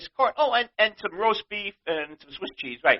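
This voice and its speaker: With a New York accent, the voice is animated and swings very widely in pitch. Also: man. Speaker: podcast host. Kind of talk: rant.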